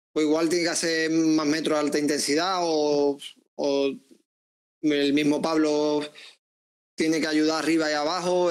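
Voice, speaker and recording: A man talks at a fairly slow pace in an Andalusian accent. His pitch is fairly high and his intonation is monotone and flat. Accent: Andalusian (Seville), kept. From Seville, Andalusia. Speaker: footballer; guest. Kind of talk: interview. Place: home room. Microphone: earbuds.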